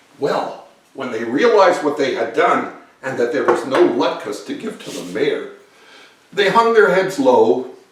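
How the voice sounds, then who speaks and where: A man speaks at a fairly slow pace with long, frequent pauses and big swings in loudness. Noticeable background noise is present. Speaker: children's book author and illustrator. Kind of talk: storytelling narration.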